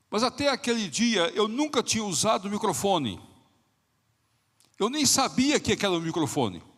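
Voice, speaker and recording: On a very clean recording with a silent background, a high-pitched man speaks at a moderate pace with lively intonation. His loudness stays very even, broken by long, frequent pauses. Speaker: pastor. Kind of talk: sermon. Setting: church. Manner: soft-spoken.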